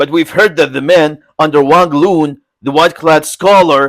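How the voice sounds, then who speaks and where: A man's put-on character voice at a moderate pace. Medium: read story. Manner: blunt, hearty.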